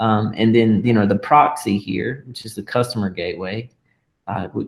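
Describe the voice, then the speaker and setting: In a plain, everyday voice, a man speaks at a medium pitch with ordinary pitch variation. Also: moderate pace, big swings in loudness. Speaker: tech tutorial host. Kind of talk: tutorial.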